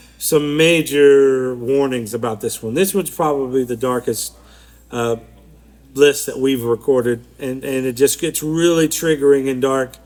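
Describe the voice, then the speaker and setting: A man mumbles at a moderate pace. His pitch is medium and his intonation fairly even. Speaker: podcast co-host. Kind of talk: casual chat. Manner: mumbling.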